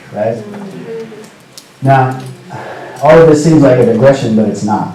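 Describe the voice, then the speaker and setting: Amid noticeable background noise and audible room echo, a man speaks at a moderate pace and medium pitch with ordinary pitch variation. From US Pacific Northwest, Seattle. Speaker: storyteller. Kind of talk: talk to students. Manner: casual, conversational with fillers.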